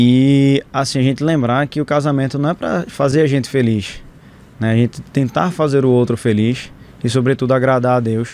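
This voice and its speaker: At a moderate pace, a man with a normal speaking voice talks at a medium pitch, with very even loudness and ordinary pitch variation. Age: 30s. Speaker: physician. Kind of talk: casual chat.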